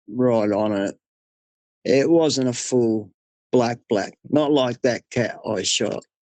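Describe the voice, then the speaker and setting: This man's delivery is fairly slow, and his intonation stays fairly even. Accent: Australian. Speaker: hunter. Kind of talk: interview storytelling.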